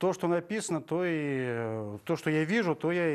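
A man talks with lively intonation. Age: 50s. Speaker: actor. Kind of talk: TV interview. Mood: relaxed, friendly. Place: studio. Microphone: lapel.

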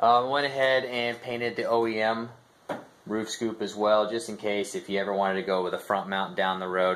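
Using a normal speaking voice, a man talks at a fairly quick pace with ordinary pitch variation. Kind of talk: casual vlog chat. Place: garage. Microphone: phone near.

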